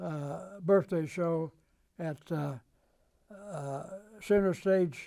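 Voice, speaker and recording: Speaking very slowly, a man uses a high pitch and a dark, mellow tone with fairly even intonation. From Kentucky. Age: 90s. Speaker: rockabilly singer. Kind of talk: oral history interview. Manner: halting, many fillers and restarts.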